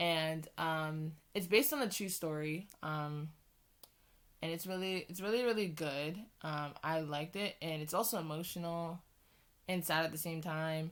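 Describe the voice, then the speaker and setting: Here a woman speaks at a moderate pace. Her pitch is fairly low, with ordinary pitch variation. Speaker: YouTuber. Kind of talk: casual vlog talk. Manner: halting, many fillers.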